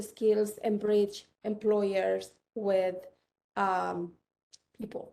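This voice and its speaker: A woman with a Chilean accent speaks at a fairly high pitch, her tone dark and mellow. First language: Spanish. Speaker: tech entrepreneur. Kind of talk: panel discussion.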